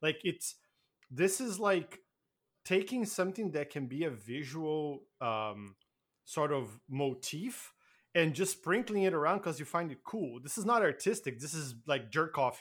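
A man speaks at a fairly slow pace with a non-native accent, his pitch fairly high and swinging very widely. The recording is very clean, with a silent background. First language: not English. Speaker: podcast co-host. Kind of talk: casual chat.

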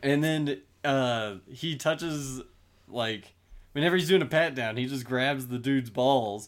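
Against a silent background in a very clean recording, a man with an ordinary speaking voice talks at a moderate pace and medium pitch with ordinary pitch variation. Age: 20s. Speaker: podcaster and IT worker. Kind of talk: casual chat.

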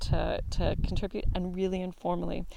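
A woman with an ordinary speaking voice and fairly low pitch talks at a fairly quick pace on a very clean recording with a silent background. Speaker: artist in residence.

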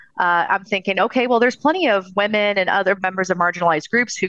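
In an American accent, a woman talks at a fairly quick pace with a medium pitch, ordinary pitch variation and a bright, sharp tone, the sound dry and close with no echo. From Southern California. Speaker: paranormal investigator and author. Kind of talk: interview.

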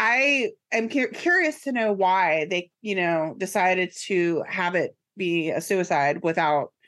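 A woman talks at a fairly slow pace in a plain, everyday voice. Her pitch is medium and her intonation lively. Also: very even loudness. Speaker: podcast co-host. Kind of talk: casual chat. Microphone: new microphone and headphones.

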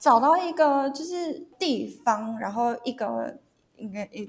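A woman is speaking. Her intonation is lively. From Taiwan, Hsinchu. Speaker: sports media content editor. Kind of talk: casual chat.

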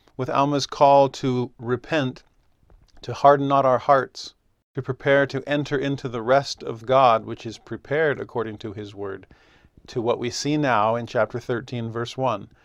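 A man has a plain, everyday voice at a medium pitch, with fairly even intonation. He speaks at a moderate pace against a quiet background. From US West (Southern California). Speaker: religion teacher. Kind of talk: scripture lesson.

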